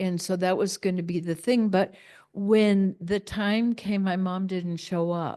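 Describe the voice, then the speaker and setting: At a fairly slow pace, a woman speaks with monotone, flat intonation in a medium pitch and a dark, mellow tone. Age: 70s. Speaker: spiritual talk speaker. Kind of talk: sermon. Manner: halting.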